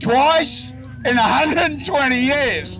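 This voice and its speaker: Speaking at a very slow pace, this voice has an Australian accent. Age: 70s. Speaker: elderly resident, victim of crime. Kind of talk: rally interview.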